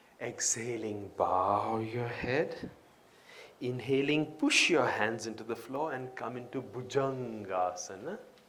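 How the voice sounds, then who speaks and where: A man at medium pitch, speaking very slowly over noticeable background noise. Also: ordinary pitch variation. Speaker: yoga teacher. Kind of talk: yoga class instruction. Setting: live event. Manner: melodious.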